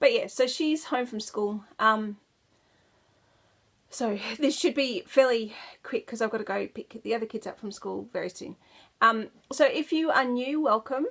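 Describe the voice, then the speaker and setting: A woman with an Australian accent speaks at a moderate pace in a high voice, with ordinary pitch variation. Her loudness swings widely, and she leaves long, frequent pauses. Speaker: knitting podcaster. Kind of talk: casual chat. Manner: casual, chatty with many fillers.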